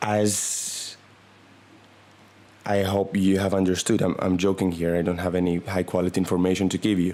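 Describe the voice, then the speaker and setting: A man with a non-native accent speaks at a very deep, low pitch in a deadpan, monotone, flat manner. His pace is moderate and his loudness very even, with long, frequent pauses. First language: not English. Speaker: comedy podcaster. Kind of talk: comedic monologue. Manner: halting.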